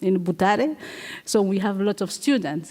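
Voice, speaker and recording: A woman is speaking. She has a Congolese accent. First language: French. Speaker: playwright and performer. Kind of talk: onstage interview. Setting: stage with audience. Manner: halting.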